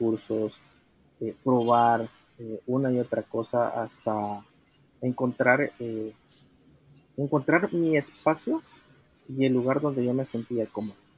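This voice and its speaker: Speaking at a fairly slow pace, a man uses a medium pitch. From El Salvador. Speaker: solo entrepreneur. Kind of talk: interview.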